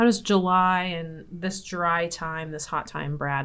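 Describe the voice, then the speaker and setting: With a Midwestern US accent, a woman speaks at a fairly low pitch and with fairly even intonation. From Nebraska. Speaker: podcast host, extension educator. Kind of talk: casual interview discussion. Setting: studio, office.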